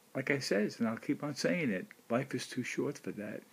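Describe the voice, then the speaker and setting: His pitch sits fairly high for a man. He keeps a moderate pace. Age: 60s. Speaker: video blogger. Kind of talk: personal monologue. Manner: halting.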